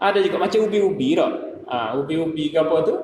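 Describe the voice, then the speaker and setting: A man with a Kelantan accent speaks at a fairly quick pace against noticeable background noise. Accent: Kelantanese Malay. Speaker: dietitian. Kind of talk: mosque talk on nutrition. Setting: mosque.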